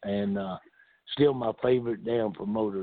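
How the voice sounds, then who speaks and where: Speaking at a moderate pace, a man with a medium pitch has a Southern US accent. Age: 70s. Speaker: retired pro wrestler. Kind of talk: casual interview.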